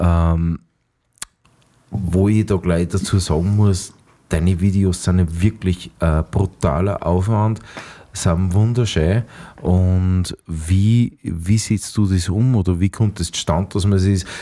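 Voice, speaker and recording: Speaking at a very slow pace, a man uses a very deep, low pitch with a dark, mellow tone and fairly even intonation. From Austria, Mühlviertel (Upper Austria). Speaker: podcast host, cook and musician. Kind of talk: casual interview.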